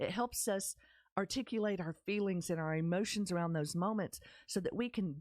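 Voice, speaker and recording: Moderate pace and ordinary pitch variation with a Texas accent, in a very clean recording with a silent background and a dry, close sound with no echo. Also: woman. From Texas, Dallas-Fort Worth area. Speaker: podcast host, women's community founder. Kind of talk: personal storytelling podcast. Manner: animated.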